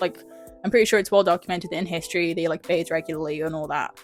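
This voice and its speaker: An English accent over music in the background. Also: woman. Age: young. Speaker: vlogger. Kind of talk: casual film review talk to camera. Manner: chatty, hesitant with many fillers.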